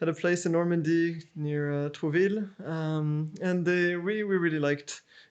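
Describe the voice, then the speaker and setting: A man speaks with a French accent at a moderate pace. His pitch is high. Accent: French accent, still present. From France, Paris. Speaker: architect. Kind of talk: interview. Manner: halting, many repeats and fillers.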